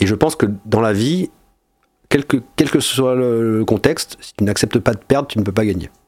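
A man speaks at a moderate pace and medium pitch with ordinary pitch variation and big swings in loudness, in a plain, everyday voice. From Monaco. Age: 40s. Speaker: entrepreneur. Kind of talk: casual interview.

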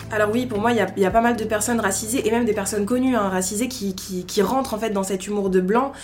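A woman speaks at a very fast pace with a medium pitch and fairly even intonation. There is noticeable background noise and audible room echo. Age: 20s. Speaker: podcast guest. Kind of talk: casual interview, personal testimony. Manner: hesitant, many fillers (euh).

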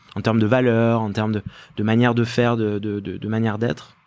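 This man's moderate-paced speech is captured on a very clean recording with a silent background. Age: 30s. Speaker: company executive. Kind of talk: interview. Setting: company office. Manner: hesitant, many fillers and repetitions.

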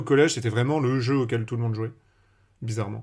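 A man speaks in an ordinary speaking voice, medium in pitch with ordinary variation. The recording is very clean, the background silent. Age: 20s. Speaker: Magic content creator. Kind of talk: casual chat.

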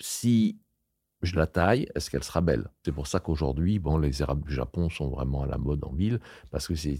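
A man with a very deep, low pitch and a dark, mellow tone speaks at a moderate pace with lively intonation and vocal fry, on a very clean recording with a silent background. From France, near Lyon. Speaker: landscape gardener. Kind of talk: interview. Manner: hesitant, many fillers.

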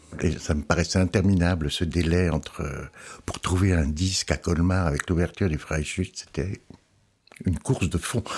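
Here a man speaks with a very deep, low pitch and a somewhat breathy quality. His pace is moderate and his intonation fairly even. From Alsace, France. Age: 60s. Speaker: opera publications editor. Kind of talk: interview. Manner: halting.

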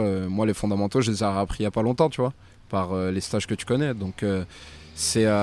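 This man has a plain, everyday voice with a fairly low pitch. His intonation stays fairly even. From France. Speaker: professional boxer. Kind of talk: casual chat.

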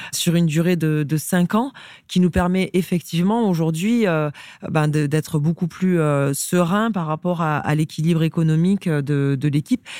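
Her fairly low voice has a dark, mellow tone, ordinary pitch variation and very even loudness at a fairly slow pace, on a very clean recording with a silent background. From rural France. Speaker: sports club executive. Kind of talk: interview conversation.

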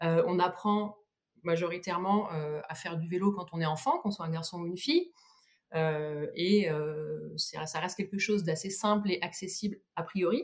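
A woman's fairly low, somewhat breathy voice at a fairly slow pace, with ordinary pitch variation. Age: 30s. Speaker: cycling community founder. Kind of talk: podcast interview. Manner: halting.

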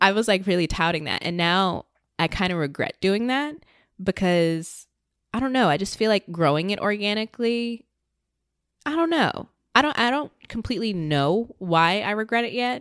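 In a normal speaking voice at medium pitch, a woman with an American accent talks at a moderate pace on a very clean recording with a silent background. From Virginia, US. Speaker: independent podcaster. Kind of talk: interview conversation. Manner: casual, filler-heavy.

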